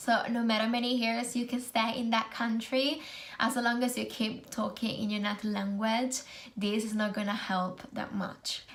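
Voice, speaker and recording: A woman with an Italian accent speaks at a fairly high pitch in a monotone, flat delivery. Noticeable background noise and audible room echo surround her. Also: moderate pace. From Italy. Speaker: student nurse and video blogger. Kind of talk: casual vlog tutorial.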